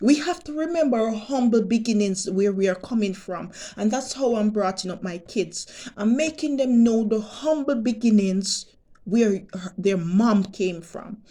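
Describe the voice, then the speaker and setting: A woman speaks in a Jamaican accent at fairly high pitch. Her intonation is lively and her pace moderate. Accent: Jamaican, patois-inflected English. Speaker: vlogger. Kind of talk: monologue vlog rant. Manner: animated.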